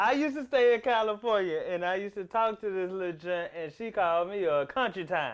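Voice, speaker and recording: A man with a Southern accent talks fairly quickly at a high pitch, with hardly any pauses. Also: lively intonation. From US South, South Memphis, Tennessee. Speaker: comedian and podcast host. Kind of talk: casual chat.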